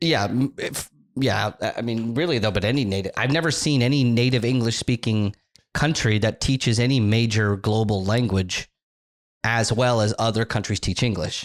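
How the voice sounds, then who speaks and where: With an American accent, this man has an unremarkable speaking voice at a medium pitch, with ordinary pitch variation, very even loudness and a moderate pace on a very clean recording with a silent background. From United States. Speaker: social media content creator. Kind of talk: casual chat.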